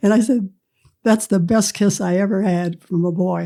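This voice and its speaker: The speaker is a woman with an American accent. Her voice sounds dark and mellow. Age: 80s+. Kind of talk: interview answer.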